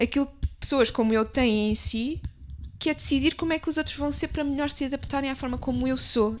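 Her high voice moves along at a fairly quick pace with lively intonation, recorded very cleanly against a silent background. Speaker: podcast co-host. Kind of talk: casual chat.

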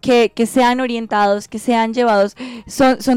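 At a fairly high pitch, a woman with an ordinary speaking voice talks at a moderate pace with fairly even intonation, the sound dry and close with no echo on a very clean recording with a silent background. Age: 20s. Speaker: gender equality activist. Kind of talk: podcast interview.

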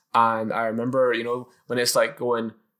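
A man with a Scottish accent speaks at a fairly quick pace. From Scotland, Edinburgh. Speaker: podcast host. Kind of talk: casual chat. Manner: animated, jokey.

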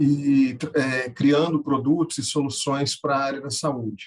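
A man talks at a fairly high pitch, his intonation fairly even. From Brazil, Minas Gerais. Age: 30s. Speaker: software company founder and angel investor. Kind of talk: interview. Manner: halting.

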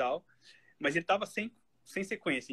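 The tone is bright and sharp, and the pace fairly quick. The sound is dry and close, with no echo. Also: man. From Brazil, Santa Catarina (Florianópolis). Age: 30s. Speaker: football statistician. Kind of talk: casual chat.

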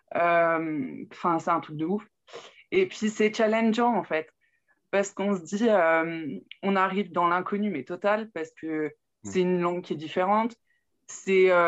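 A woman at a medium pitch talks at a fairly slow pace with long, frequent pauses and ordinary pitch variation against a quiet background. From Burgundy, France (Saône-et-Loire). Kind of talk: interview testimony.

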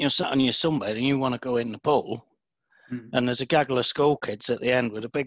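With a Lincolnshire accent, a man talks at a very fast pace at a medium pitch with fairly even intonation. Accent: northern English (Lincolnshire). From northern England, Scunthorpe. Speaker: author in recovery from alcohol. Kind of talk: casual interview chat.

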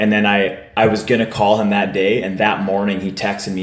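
Room echo is audible as a man talks at a very fast pace. His pitch is fairly low. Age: 30s. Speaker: podcast host. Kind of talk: casual chat. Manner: animated.

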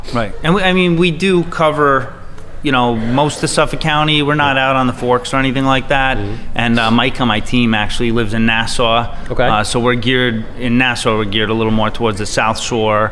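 A man talks fairly quickly at a medium pitch with ordinary pitch variation and hardly any pauses. The recording has audible room echo and noticeable background noise. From Long Island, New York. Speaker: real estate agent. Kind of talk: interview.

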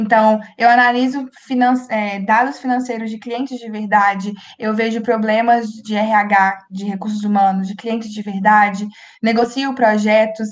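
In a fairly high voice, a woman speaks fairly slowly with a flat, monotone delivery but big swings in loudness. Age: 20s. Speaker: accounting student. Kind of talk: casual chat.

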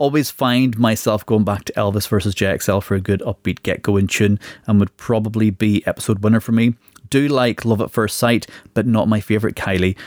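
In a normal speaking voice, a man talks at a fairly low pitch and a fairly quick pace with fairly even intonation, the sound dry and close with no echo. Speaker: podcast host. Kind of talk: casual chat.

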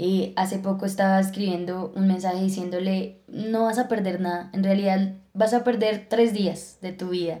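In a dark, mellow tone, a woman with a medium pitch speaks at a moderate pace in a monotone, flat intonation with hardly any pauses. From Colombia, Villeta (Cundinamarca). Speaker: podcast co-host. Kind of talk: casual chat. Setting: studio.

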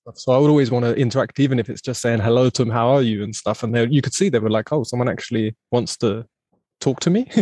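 Speaking at a very fast pace, a man has an English accent and a medium pitch with fairly even intonation. His tone is dark and mellow, and the sound is dry and close with no echo. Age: 30s. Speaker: podcast host. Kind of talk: casual interview chat. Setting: video call.

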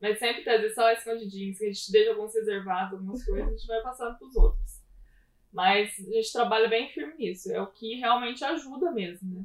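In an unremarkable speaking voice, a woman talks at a fairly quick pace with fairly high pitch, ordinary pitch variation, and big swings in loudness. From southern Minas Gerais, Brazil (Pouso Alegre). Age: 20s. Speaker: physical education teacher, gym co-owner. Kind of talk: live-stream interview. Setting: online live stream.

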